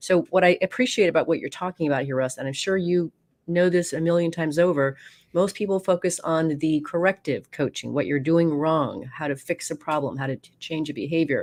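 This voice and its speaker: A woman's fairly low, fairly quick voice with a slight New York accent and ordinary pitch variation, on a very clean recording with a silent background. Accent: slight New York accent picked up. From Oregon. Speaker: radio host. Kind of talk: interview.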